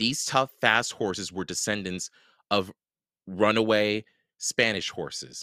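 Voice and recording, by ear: The speaker reads aloud in a natural voice with fairly even intonation. The background is quiet.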